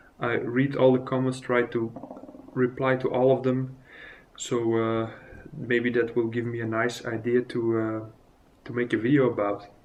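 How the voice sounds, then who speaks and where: A man with a non-native accent talks at a moderate pace and medium pitch, his intonation monotone and flat, broken by long, frequent pauses. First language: not English. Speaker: miniature painting vlogger. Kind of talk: casual vlog. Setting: recorded on phone. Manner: halting, many fillers. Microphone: phone recording.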